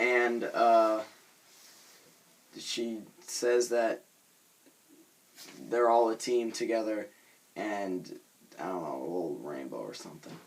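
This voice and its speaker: A man speaking at a very slow pace, with long, frequent pauses. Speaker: YouTube vlogger reviewing cartoon episodes. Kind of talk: casual review vlog. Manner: halting, many fillers.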